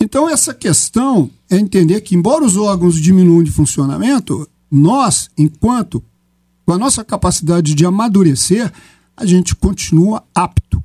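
A high-pitched male voice, dark and mellow, with lively intonation and a dry, close sound with no echo. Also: moderate pace. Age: 60s. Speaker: physician and geriatrician. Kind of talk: radio panel debate.

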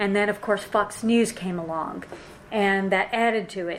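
Noticeable background noise sits behind a woman at a medium pitch. She speaks at a moderate pace with monotone, flat intonation. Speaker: panelist and moderator. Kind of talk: panel talk. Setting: in-person event with audience.

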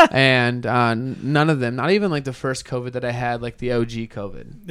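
A man with a medium pitch. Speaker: podcast co-host. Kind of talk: casual, profane banter. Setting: home podcast recording.

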